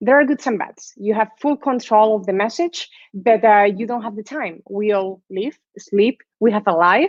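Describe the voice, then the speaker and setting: A woman with a Spanish accent, at a fairly high pitch with ordinary pitch variation and a moderate pace. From Spain. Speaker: guest lecturer, sales executive. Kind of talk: lecture. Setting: live online class.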